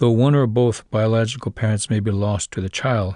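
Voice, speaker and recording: Recorded with a dry, close sound, no echo and a quiet background, a man of medium pitch talks at a fairly quick pace in a dark, mellow tone with fairly even intonation. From South Dakota Lakota reservation. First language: Lakota. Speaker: author narrating his own book. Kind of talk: audiobook reading.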